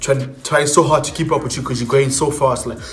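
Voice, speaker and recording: A man with a fairly high pitch talks over noticeable background noise, and audible room echo fills the space. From South Africa. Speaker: YouTuber. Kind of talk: tutorial.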